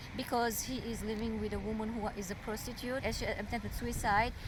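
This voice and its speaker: A woman with a non-native accent talks at a moderate pace and fairly high pitch, with audible room echo and noticeable background noise. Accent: foreign. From overseas, Arabic- and Armenian-speaking region. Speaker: domestic violence survivor. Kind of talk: interview testimony. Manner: halting.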